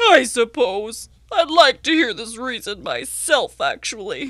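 A female-sounding voice puts on a cartoonish character voice at a high pitch. The pace is fairly slow. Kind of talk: children's educational show character. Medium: puppet show. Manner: mopey, self-pitying, wistful.

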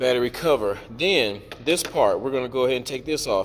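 Light background noise runs under a man's voice. He speaks at a moderate pace with ordinary pitch variation. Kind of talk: tutorial. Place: garage. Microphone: phone near.

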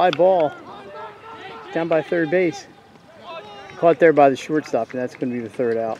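Against light background noise, a man with a fairly high pitch and ordinary pitch variation speaks with long, frequent pauses, the sound dry with no echo. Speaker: sports broadcaster; game commentator. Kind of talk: live play-by-play baseball commentary. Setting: outdoors at a baseball field. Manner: quick, clipped, matter-of-fact calls. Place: stadium.

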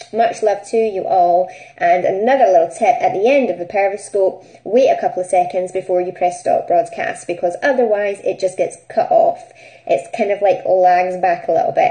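Her Scottish accent comes with very wide pitch swings around a medium pitch. The woman talks at a moderate pace. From Scotland. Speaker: business networking group host. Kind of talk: live stream chat. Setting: live stream broadcast. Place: home room. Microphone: phone near.

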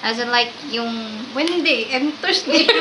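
Raised, projected woman's voice amid noticeable background noise. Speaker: vlogger. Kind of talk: casual vlog chat. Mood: playful, laughing. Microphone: camera far.

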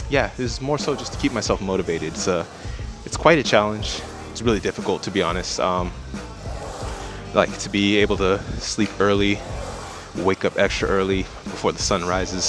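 A man at a fairly quick pace, dry sound with no echo, clear music in the background. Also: fairly low pitch for a man. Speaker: fitness vlogger. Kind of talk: casual vlog chat. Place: gym. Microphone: earbuds.

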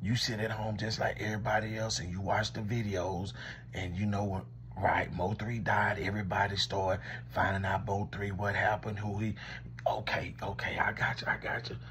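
The voice has vocal fry and ordinary pitch variation, keeps a moderate pace, and sits over light background noise. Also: man, fairly low pitch for a man. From Louisiana. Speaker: commentator. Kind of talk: comedic one-sided call skit. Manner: animated. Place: home room. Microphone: phone near.

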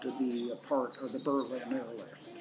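A man talks at a fairly slow pace against noticeable background noise. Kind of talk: interview answer. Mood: calm, reflective. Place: open country.

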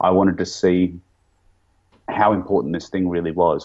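Someone speaks with an Australian accent over a quiet background. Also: man. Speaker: YouTube interviewer and activist; YouTube interviewer. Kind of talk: interview conversation. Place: home room. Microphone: studio mic.

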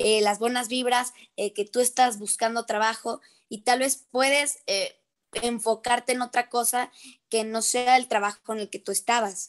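Someone speaks at a fairly slow pace with fairly even intonation in a quiet background. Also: woman, high pitch for a woman. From Mexico. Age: 18. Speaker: young singer and actress; actress. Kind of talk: casual interview. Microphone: video call.

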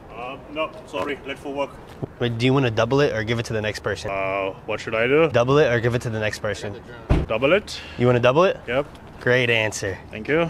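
Noticeable background noise runs behind a man talking very fast. His pitch varies in an ordinary way. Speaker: vlogger. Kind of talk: casual vlog with strangers. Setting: outdoors on location. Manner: fast talker; playful. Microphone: phone near.

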